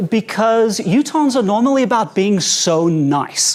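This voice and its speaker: A man with a South African accent, high pitch and very wide pitch swings, at a fairly slow pace over noticeable background noise. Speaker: stand-up comedian. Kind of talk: stand-up. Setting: stage with audience at a conference.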